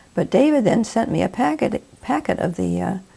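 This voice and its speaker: With an American accent, a woman speaks at a fairly high pitch in a dark, mellow tone, her voice showing vocal fry and very wide pitch swings. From West Virginia, Charleston. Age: 80s+. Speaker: interviewee. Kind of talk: interview.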